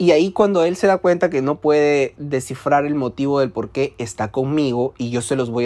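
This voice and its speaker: A man speaks in a fairly high voice with an animated tone. His pitch varies in an ordinary way. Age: 20s. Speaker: podcast host. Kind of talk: personal monologue.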